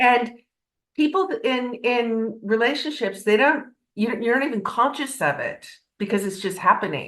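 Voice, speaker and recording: Lively intonation runs through a woman's speech. Her pitch is high and her pace moderate. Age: 60s. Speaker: podcast guest. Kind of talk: casual interview chat. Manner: halting, many restarts.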